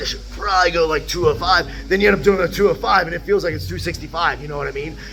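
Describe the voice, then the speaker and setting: There is noticeable background noise. Over it, a man speaks at a very fast pace. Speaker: fitness coach. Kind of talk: tutorial. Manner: animated. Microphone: far from camera, no mic yet.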